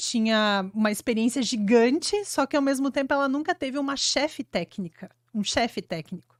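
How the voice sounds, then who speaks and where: Her southern Brazilian accent comes through as a woman speaks at a high pitch with lively intonation on a very clean recording with a silent background. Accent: gaúcho accent, noticeable. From Rio Grande do Sul, Brazil (Flores da Cunha, Serra Gaúcha). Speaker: urban planning engineer. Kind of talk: podcast interview.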